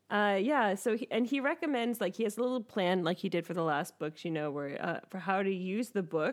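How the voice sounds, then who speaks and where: At a fairly quick pace with hardly any pauses, a woman with medium pitch and lively intonation has an unremarkable speaking voice on a very clean recording with a silent background. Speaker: podcast host. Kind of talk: casual chat.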